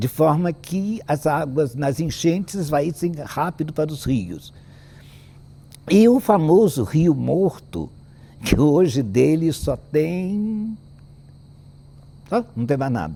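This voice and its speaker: The man's voice is fairly high, with lively intonation. He speaks very slowly, with long, frequent pauses. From Brazil, Paraty (Rio de Janeiro state). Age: 80s+. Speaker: historian. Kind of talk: panel talk on local history. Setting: auditorium stage with audience.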